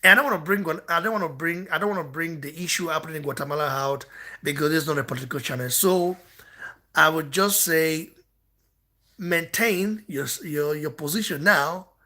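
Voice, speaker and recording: A man speaks at a fairly quick pace and fairly high pitch, with ordinary pitch variation. His tone is bright and sharp in a very clean recording with a silent background. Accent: non-native. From Nigeria. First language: not English. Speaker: boxing channel host. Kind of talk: heated rant responding to comments. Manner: repetitive, halting restarts.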